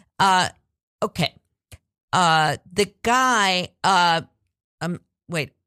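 Her tone is bright and sharp at a medium pitch, with ordinary pitch variation, and the sound is dry and close with no echo. The woman speaks very slowly, with long, frequent pauses. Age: old. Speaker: radio talk show host. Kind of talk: casual chat. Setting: studio. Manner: halting.

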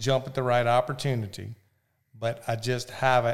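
With a Southern US accent, a man speaks at a moderate pace. His voice sits at a medium pitch. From US South. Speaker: real estate broker, hunter. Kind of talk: casual chat. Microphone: too far from the mic.

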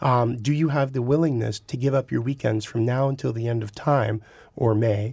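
Against a quiet background, a man with a Southern Ontario accent sounds somewhat breathy, keeping his intonation fairly even. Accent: Southern Ontario Canadian English. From Southern Ontario, Canada. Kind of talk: casual podcast discussion. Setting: studio.

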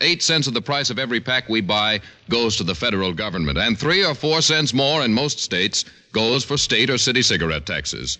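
This man speaks at a fairly quick pace and medium pitch, with very wide pitch swings and vocal fry. His tone is upbeat, bright and sharp, and his loudness stays very even. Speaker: radio announcer. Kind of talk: 1950s radio show announcement, sponsor tag. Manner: polished, upbeat announcer delivery.

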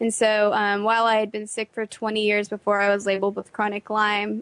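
This woman has a medium pitch and speaks with an American accent. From Texas. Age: 20s. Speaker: patient sharing illness story. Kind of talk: interview testimony. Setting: radio studio.

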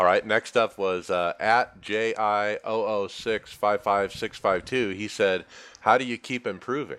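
The man has an ordinary speaking voice with a fairly low pitch and fairly even intonation. He speaks at a fairly slow pace over a quiet background. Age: 40s. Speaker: podcast host. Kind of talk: casual chat.

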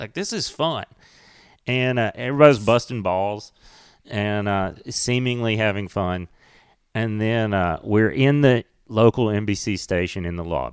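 A man with a Southern US accent talks fairly slowly at a fairly low pitch with ordinary pitch variation, in a very clean recording with a silent background. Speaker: stand-up comedian. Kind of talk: casual chat. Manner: quiet, measured delivery.

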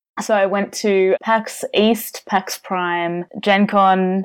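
Speech comes at a very slow pace. It is delivered with an Australian accent. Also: woman. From Australia, Melbourne. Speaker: board game reviewer and social media manager. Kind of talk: casual chat.

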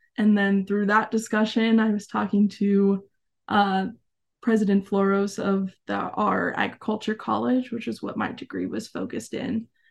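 At a moderate pace and medium pitch, a woman with an ordinary speaking voice talks with fairly even intonation against a quiet background. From Arizona. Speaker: former youth program member and camp staff. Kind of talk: interview.

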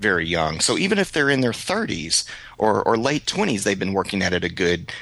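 A bright, sharp tone with lively intonation at a moderate pace, in a strong East Texas accent. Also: man. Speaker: podcast host, photographer. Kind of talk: casual chat, podcast conversation.

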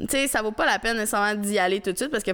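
A woman's voice at medium pitch. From Quebec. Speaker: YouTuber. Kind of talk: casual chat.

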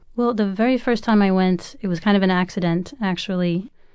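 Her dark, mellow tone comes with an American accent and fairly even intonation from this woman. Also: quiet background. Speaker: author. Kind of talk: radio interview.

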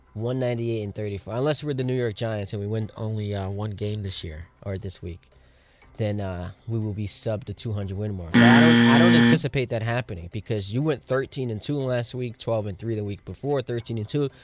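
A man with a plain, everyday voice, fairly low in pitch, with ordinary pitch variation and a moderate pace. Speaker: radio co-host. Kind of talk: sports talk radio. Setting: studio.

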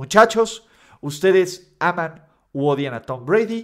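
This man speaks. His pace is very slow. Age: 30s. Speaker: sports YouTuber and podcaster. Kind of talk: casual commentary monologue.

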